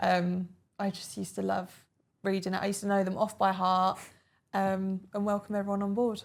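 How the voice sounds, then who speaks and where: In an Essex accent, a woman speaks at a fairly quick pace with monotone, flat intonation and long, frequent pauses, on a very clean recording with a silent background. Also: medium pitch for a woman. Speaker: former airline cabin crew, interviewee. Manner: casual, conversational with frequent fillers.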